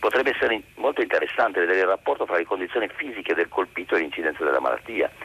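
A man's voice, dry and close with no echo. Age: 70s. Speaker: caller. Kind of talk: phone-in opinion.

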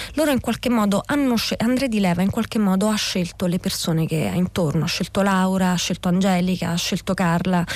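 Somewhat breathy, a woman speaks at a fairly quick pace with hardly any pauses and very even loudness. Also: medium pitch for a woman, ordinary pitch variation. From southern Lazio, Italy (Scauri, Gulf of Gaeta). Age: 40s. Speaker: novelist. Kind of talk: radio interview. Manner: halting, frequent repetitions.

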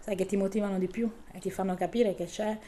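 A woman with a plain, everyday voice, medium pitch and a fairly quick pace. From southern Italy, Bari. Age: 40s. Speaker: local politician. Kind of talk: interview.

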